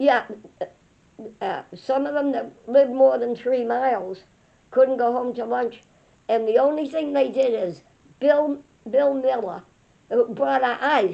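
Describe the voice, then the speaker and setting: At a fairly slow pace, a woman talks with a high pitch, ordinary pitch variation, and long, frequent pauses. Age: 90s. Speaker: elderly mother sharing childhood memories. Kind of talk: casual chat. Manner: halting.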